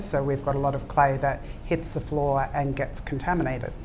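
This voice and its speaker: A woman's very deep, low voice in an Australian accent, with audible room echo. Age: 60s. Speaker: ceramics brand founder. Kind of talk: panel talk answering audience questions. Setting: live event with audience.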